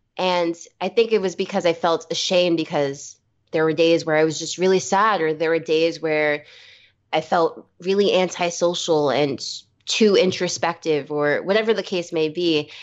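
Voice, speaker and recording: Speaking with an American accent in an unremarkable speaking voice, a woman keeps a fairly low pitch, fairly even intonation and a moderate pace. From New York City, Brooklyn. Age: 20s. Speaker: musician. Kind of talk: casual chat.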